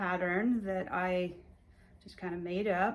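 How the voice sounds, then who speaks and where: Flat, monotone speech from a woman, echoing audibly in the room. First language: Hungarian. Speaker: cross-stitch vlogger. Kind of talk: casual show-and-tell vlog. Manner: relaxed, many fillers and restarts.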